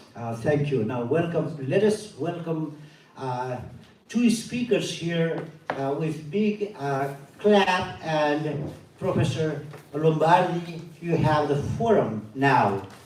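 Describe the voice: Strong room echo surrounds a man speaking slowly with few pauses in a fairly high, slightly mellow voice. His intonation is lively.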